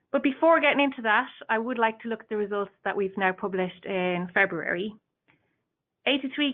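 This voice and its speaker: Speaking at a fairly quick pace in an Irish accent, a woman has a fairly high pitch with ordinary pitch variation. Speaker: industry association staff presenting a report. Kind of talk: webinar presentation. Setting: online webinar. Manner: halting, with frequent fillers and restarts.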